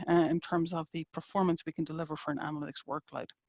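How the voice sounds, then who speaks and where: A woman with an Irish accent talks at a very fast pace. The sound is dry and close, with no echo. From Ireland. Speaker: engineering executive. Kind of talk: webinar presentation.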